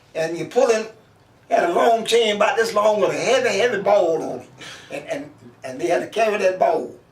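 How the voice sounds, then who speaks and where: With audible room echo and noticeable background noise, a man talks at a fairly quick pace in a high voice with very wide pitch swings. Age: 90s. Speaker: oral history interviewee. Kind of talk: life story interview.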